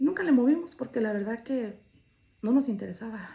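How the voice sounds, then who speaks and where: Somewhat breathy, a woman speaks at a fairly quick pace. Her voice is fairly high in pitch and dark, mellow in tone. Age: 60s. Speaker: storyteller sharing own life. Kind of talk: personal testimony.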